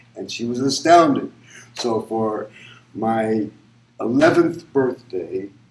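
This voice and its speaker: Audible room echo and light background noise accompany a man speaking with ordinary pitch variation. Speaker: interviewee. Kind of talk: interview answer.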